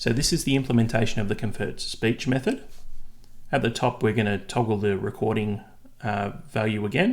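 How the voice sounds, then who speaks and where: A man's medium-pitched voice, fairly quick, with fairly even intonation. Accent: Australian. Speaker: software developer tutorial maker. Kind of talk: tutorial.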